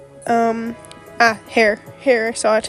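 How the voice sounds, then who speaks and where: Music plays in the background as a woman talks at a fairly high pitch. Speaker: fan comic artist. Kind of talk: casual speed paint commentary. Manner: hesitant, lots of fillers.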